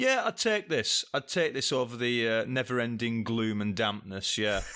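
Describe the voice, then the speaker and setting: A man with a Lancashire accent talks at a medium pitch and moderate pace, his bright, sharp tone holding very even loudness and ordinary pitch variation. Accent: Leyland (Lancashire). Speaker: podcast guest. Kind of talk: casual chat. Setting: video call.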